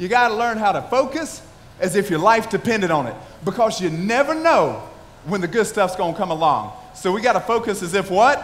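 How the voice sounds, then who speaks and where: Amid noticeable background noise and audible room echo, a man with a high voice talks at a fairly quick pace in an animated tone with lively intonation. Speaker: motivational speaker. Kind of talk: motivational speech. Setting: stage with audience. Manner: loud.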